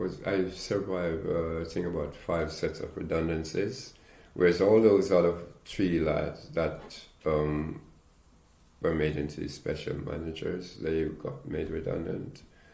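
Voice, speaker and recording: A man speaks with a very deep, low voice that is somewhat breathy, his intonation fairly even. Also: fairly slow pace. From Caribbean. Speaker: retired engineer. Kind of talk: oral history interview answer.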